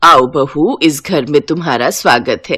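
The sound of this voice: A woman uses a put-on character voice, low in pitch with a bright, sharp tone and a slightly husky edge. She goes at a fairly slow pace with ordinary pitch variation.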